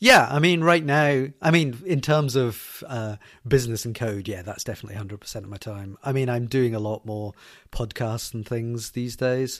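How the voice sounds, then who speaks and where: In a Glaswegian accent, the speaker's loudness swings widely. The recording is very clean, with a silent background. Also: man, medium pitch for a man, ordinary pitch variation, moderate pace. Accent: Glaswegian Scottish. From Scotland, Glasgow. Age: 40s. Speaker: software developer. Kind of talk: interview. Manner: halting.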